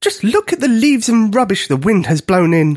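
A man puts on a character voice pitched high. He moves at a fairly quick pace. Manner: booming, looming.

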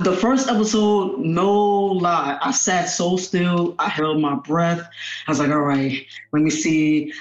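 Very slow speech at very even loudness comes through noticeable background noise. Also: man, high pitch for a man, ordinary pitch variation. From Tallahassee, Florida. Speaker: musician and recording artist. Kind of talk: casual chat.

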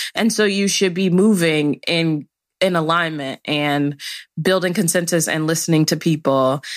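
A woman with a plain, everyday voice and an American accent speaks at a moderate pace in a fairly low pitch, with ordinary pitch variation and very even loudness, on a very clean recording with a silent background. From Chicago, South Side. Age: 20s. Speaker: policy director. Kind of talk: interview conversation.

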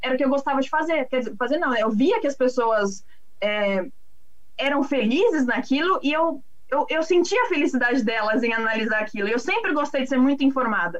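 Lively intonation comes through at a fairly quick pace over noticeable background noise. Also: woman, high pitch for a woman. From Brazil, São Paulo city. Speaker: agricultural market analyst. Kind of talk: casual interview.

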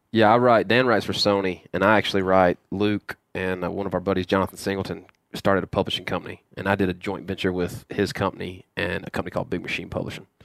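Very deep and low, a man's voice races at a very fast pace with hardly any pauses, in a Southern US accent. His intonation is fairly even, and the recording is very clean with a silent background. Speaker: hunting show co-host. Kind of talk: casual chat. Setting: on a tour bus.

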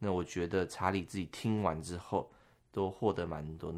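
Very clean and silent in the background, this recording has a man speaking in a very deep, low voice. He keeps a moderate pace and fairly even intonation. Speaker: podcast host. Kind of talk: casual chat.

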